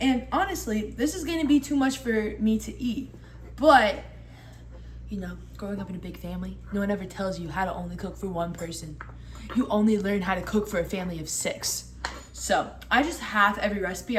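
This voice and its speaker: A woman speaks at a fairly quick pace in an animated tone, her loudness swinging widely, with audible echo from the room. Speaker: cooking video creator. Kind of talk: casual cooking tutorial. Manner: fast.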